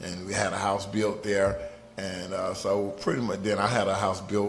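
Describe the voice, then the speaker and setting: A man speaks at a moderate pace in a fairly low, monotone voice with flat intonation. Audible room echo and noticeable background noise surround him. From Atlanta, US South. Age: 50s. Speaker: rapper. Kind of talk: podcast interview.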